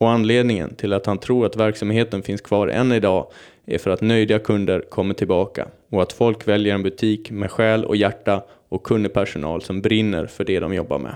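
Man's normal speaking voice, fairly low in pitch, at a moderate pace with fairly even intonation and a quiet background. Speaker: podcast host. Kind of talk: scripted narration; casual chat.

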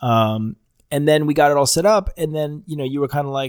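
A man with an unremarkable speaking voice talks fairly quickly at a fairly high pitch with ordinary pitch variation. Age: 30s. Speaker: podcast host. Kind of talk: casual chat.

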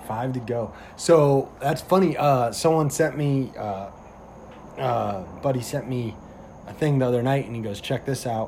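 A somewhat breathy voice with a dark, mellow tone. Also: man, medium pitch for a man, ordinary pitch variation, moderate pace. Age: 20s. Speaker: police officer and podcast host. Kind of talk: casual chat.

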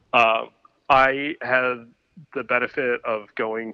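A man with a Michigan accent and monotone, flat intonation. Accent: Midwestern American (Michigan). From Michigan, Ypsilanti near Detroit. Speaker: photographer. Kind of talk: casual chat. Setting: phone call.

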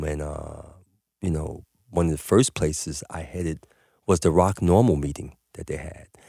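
A man with a New York accent speaks at a fairly slow pace in a very deep, low voice with a dark, mellow tone. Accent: New York City. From Harlem, New York City. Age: 50s. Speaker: cannabis business owner. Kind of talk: casual chat. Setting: studio.

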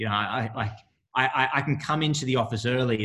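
The voice, with an Australian accent, moves at a fairly quick pace with a bright, sharp tone. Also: man. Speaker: Olympic sprinter. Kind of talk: interview. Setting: video call.

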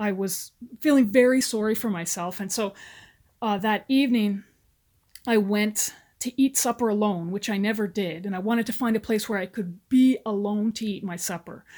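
A woman's unremarkable speaking voice at medium pitch, fairly even intonation and moderate pace, on a very clean recording with a silent background. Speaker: retired army officer. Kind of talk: interview.

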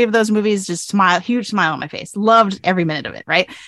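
Talking at a very fast pace, a woman with a bright, sharp tone and ordinary pitch variation is recorded in a dry, close sound with no echo. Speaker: writing professor and pop culture blogger. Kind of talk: casual chat.

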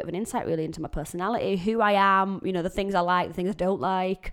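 A woman with a Yorkshire accent talks at a very fast pace in a medium pitch, on a very clean recording with a silent background. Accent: broad Yorkshire. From Yorkshire, England. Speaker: country singer-songwriter and podcaster. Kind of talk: casual solo podcast introduction.

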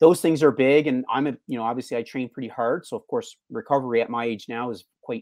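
A man's unremarkable speaking voice at a fairly quick pace, fairly even in intonation, dry and close with no echo. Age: 40s. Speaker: fitness coach. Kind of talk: interview. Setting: video call.

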